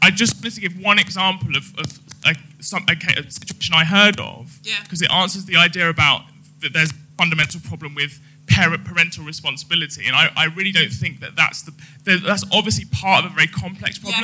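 A man speaks at a fairly quick pace in a high voice with a bright, sharp tone. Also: ordinary pitch variation. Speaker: lawyer, audience member at a live podcast recording. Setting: live audience event.

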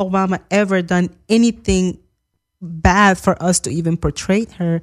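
A woman with a Spanish accent talks at a fairly slow pace, her pitch medium with ordinary variation. The recording is very clean, with a silent background. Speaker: guest commentator. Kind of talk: casual chat. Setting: studio.

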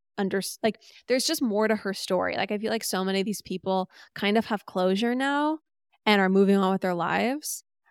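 Recorded very cleanly with a silent background and a dry, close sound with no echo, a woman speaks in a plain, everyday voice at medium pitch, with ordinary pitch variation and a moderate pace. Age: 30s. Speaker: podcast host. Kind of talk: monologue; casual chat.

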